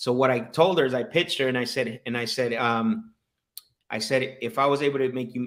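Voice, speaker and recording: A man speaks with an energetic tone. His pitch sits in the medium range. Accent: Spanish. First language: Spanish. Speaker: sales coach and livestream host. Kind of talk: live-streamed sales call session with chat commentary.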